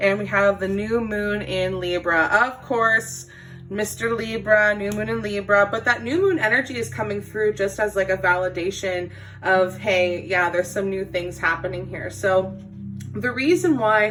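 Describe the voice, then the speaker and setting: Moderate pace with music in the background. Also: woman, medium pitch for a woman, ordinary pitch variation. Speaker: tarot card reader. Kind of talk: spiritual reading monologue.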